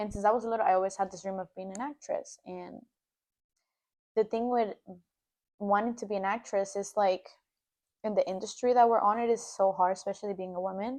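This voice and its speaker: In a Spanish accent, a woman speaks with fairly even intonation, long and frequent pauses, and big swings in loudness against a quiet background. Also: medium pitch for a woman, fairly quick pace. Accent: Spanish accent, noticeable. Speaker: podcast co-host, aspiring actress. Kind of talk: casual chat.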